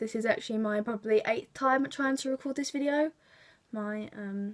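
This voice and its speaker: At a moderate pace, a woman with a London accent speaks at a fairly high pitch with ordinary pitch variation. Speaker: beauty vlogger. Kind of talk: tutorial. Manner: casual, chatty.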